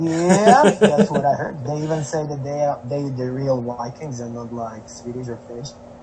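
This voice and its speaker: Against noticeable background noise, a man with a fairly high voice talks at a moderate pace with hardly any pauses, ordinary pitch variation and big swings in loudness. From Slovakia. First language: Slovak. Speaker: traveling musician. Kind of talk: casual chat.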